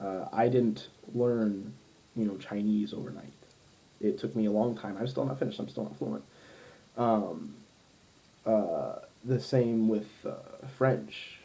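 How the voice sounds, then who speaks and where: Fairly slow speech with an American accent, lively intonation and long, frequent pauses, in audible room echo. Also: man, fairly low pitch for a man. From US Midwest, Ohio. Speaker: language learner, polyglot vlogger. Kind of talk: casual vlog monologue. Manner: many fillers, halting.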